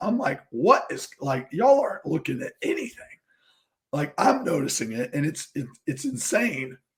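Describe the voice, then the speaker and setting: A man uses a put-on, raspy character voice with a fairly high pitch. He speaks at a moderate pace. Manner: exasperated, ranting.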